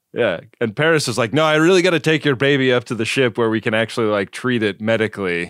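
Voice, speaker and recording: Speaking very fast with hardly any pauses, a man at medium pitch keeps his loudness very even and his intonation lively, on a very clean recording with a silent background. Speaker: podcast co-host. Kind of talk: casual chat.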